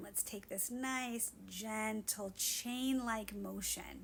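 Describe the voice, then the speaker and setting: Fairly high and somewhat breathy, a woman's voice with ordinary pitch variation. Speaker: Pilates instructor. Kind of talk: guided workout instruction.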